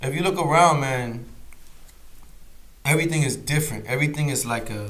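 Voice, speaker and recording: Audible room echo follows a man who talks at a fairly quick pace and a fairly high pitch. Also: ordinary pitch variation. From Boston, US, Puerto Rican family. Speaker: musician. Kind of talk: casual interview chat. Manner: casual, filler-heavy.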